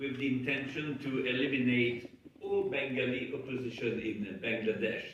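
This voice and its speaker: Noticeable background noise fills the clip. A man's voice carries audible room echo. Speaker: human rights advocate. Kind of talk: conference speech. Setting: parliament conference.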